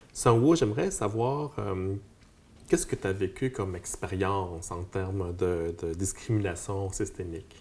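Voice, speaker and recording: A man speaks at a fairly slow pace, his voice fairly low-pitched and somewhat breathy, with ordinary pitch variation. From Quebec, Montreal. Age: 40s. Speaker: community worker. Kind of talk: interview. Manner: halting. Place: meeting room. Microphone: lapel.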